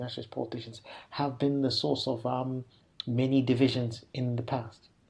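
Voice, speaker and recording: The speaker talks at a moderate pace, somewhat breathy, with fairly even intonation. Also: man. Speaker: associate professor in African politics. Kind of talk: interview answer. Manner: hesitant, many fillers.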